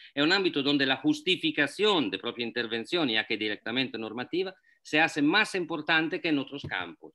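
Fairly quickly, a man talks in a voice pitched fairly high. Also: lively intonation.

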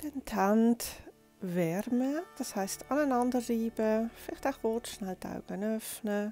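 Very slowly and in a calm tone, a soft-spoken woman with a fairly high pitch and ordinary pitch variation speaks over music in the background, the sound dry with no echo. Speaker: yoga teacher. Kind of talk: guided yoga instruction. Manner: soft-spoken, calm. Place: home room.

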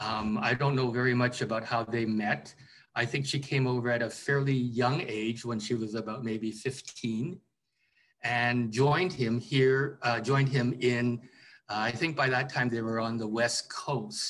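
The pace is fairly slow, with a Canadian accent and ordinary pitch variation. Light background noise can be heard. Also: man. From Vancouver, Canada; British Columbia, Canada. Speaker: writer and historian; interviewee. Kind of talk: interview. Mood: calm, reflective. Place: home room. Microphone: video call.

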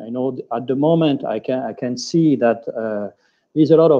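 Against a quiet background, a man with a French accent speaks with ordinary pitch variation. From France. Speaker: hotel general manager; panelist. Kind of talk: webinar panel discussion. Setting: video call. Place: office. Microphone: video call.

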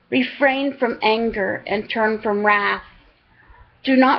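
Speaking very slowly, a woman uses a fairly high pitch and fairly even intonation. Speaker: online Bible reader. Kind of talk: reading aloud. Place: home room. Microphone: webcam.

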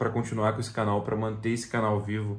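The voice is somewhat breathy. Room echo is audible. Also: man. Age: 30s. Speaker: YouTuber. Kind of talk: video message to his future self. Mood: earnest, slightly emotional. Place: home room. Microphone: phone near.

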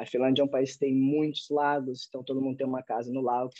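A man speaks with a dark, mellow tone. The background is quiet and the sound is dry, with no echo. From Brazil. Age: 30s. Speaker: professional footballer; podcast guest. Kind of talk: interview. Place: home room. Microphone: video call.

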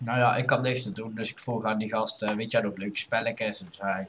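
This man has a medium-pitched voice. He talks at a fairly slow pace. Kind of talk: casual gameplay commentary.

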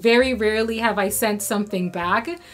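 A woman's voice with ordinary pitch variation over faint background music. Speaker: fashion vlogger. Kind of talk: casual vlog chat. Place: home room.

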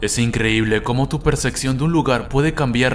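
A man talks with fairly even intonation. Music can be heard in the background. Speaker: creepypasta narrator. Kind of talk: first-person horror story narration, bedtime ghost story telling.

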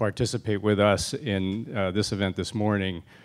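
Using an ordinary speaking voice, a man talks at a moderate pace with fairly low pitch. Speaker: panel moderator. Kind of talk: event opening remarks. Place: hall. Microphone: handheld.

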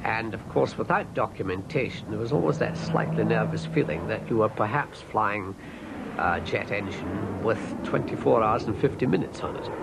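At a moderate pace, a man talks through noticeable background noise. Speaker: pilot or aviation expert. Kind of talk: archive interview recollection.

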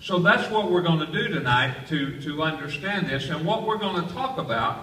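Amid light background noise and audible room echo, a man talks at a moderate pace with lively intonation. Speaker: pastor. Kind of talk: sermon. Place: hall.

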